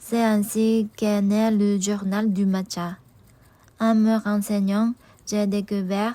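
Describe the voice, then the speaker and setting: Speaking at a very slow pace with a Japanese accent, a woman has a dark, mellow tone, medium pitch and monotone, flat intonation on a very clean recording with a silent background. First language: Japanese (speaking French). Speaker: vlogger. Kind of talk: personal vlog narration.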